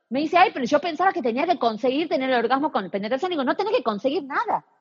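A woman at a high pitch, very wide pitch swings, very fast pace. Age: 40s. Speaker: personal trainer, pelvic floor specialist. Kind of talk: interview.

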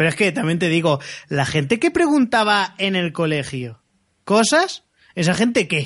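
The man has a high pitch and makes very wide pitch swings. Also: fairly slow pace. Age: 20s. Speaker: podcast co-host. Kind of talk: casual chat.

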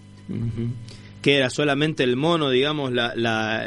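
Against noticeable background noise, a man talks at a medium pitch and a moderate pace with ordinary pitch variation. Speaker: radio host. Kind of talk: casual chat.

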